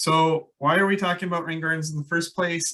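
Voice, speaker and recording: With a Minnesotan accent, a man speaks at a fairly quick pace in a bright, sharp tone. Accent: Minnesota. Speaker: landscape ecologist. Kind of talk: presentation. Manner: hesitant, many fillers.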